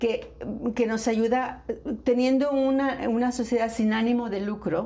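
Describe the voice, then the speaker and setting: The voice has a dark, mellow tone and fairly even intonation, moving at a fairly slow pace with audible room echo. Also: woman, fairly high pitch for a woman. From northern Mexico, Nuevo León. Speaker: flamenco dancer and festival founder. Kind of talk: interview.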